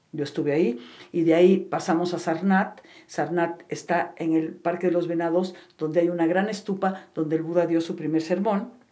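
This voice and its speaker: With audible room echo around it, a dark, mellow tone carries fairly even intonation. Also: woman, fairly low pitch for a woman, moderate pace. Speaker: psychotherapist and meditation teacher. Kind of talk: interview.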